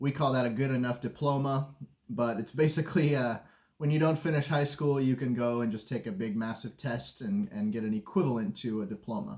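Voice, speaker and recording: A normal speaking voice from a man with an American accent, medium in pitch with ordinary variation, at a fairly quick pace. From United States. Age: 30s. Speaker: self-taught web developer, vlogger. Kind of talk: personal story vlog. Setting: at home. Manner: casual, with filler words.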